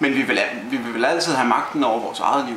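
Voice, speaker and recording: Noticeable background noise and audible room echo surround the speaker. He is a man talking at a moderate pace. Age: 20s. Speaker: political party youth secretary. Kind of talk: interview. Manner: halting, many fillers and repetitions.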